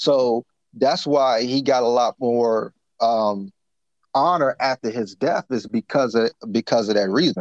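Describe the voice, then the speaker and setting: A man with an ordinary speaking voice talks at a fairly slow pace and medium pitch with ordinary variation and very even loudness. The sound is dry and close, with no echo, over a quiet background. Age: 30s. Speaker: motivational speaker and mentor. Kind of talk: casual chat.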